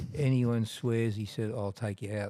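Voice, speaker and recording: Speaking at a moderate pace, a man with an Australian accent has a fairly low pitch and a dark, mellow tone. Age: 70s. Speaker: tattoo artist. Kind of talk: casual interview, storytelling. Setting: in a tattoo shop. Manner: halting, many repeats and fillers.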